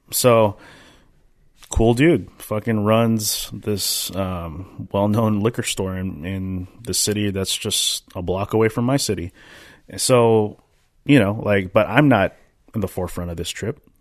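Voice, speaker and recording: Against a quiet background, a man with an ordinary speaking voice and an American accent talks at a fairly low pitch and a fairly slow pace, with ordinary pitch variation. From Minnesota. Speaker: podcast co-host, dance teacher. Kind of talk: casual chat.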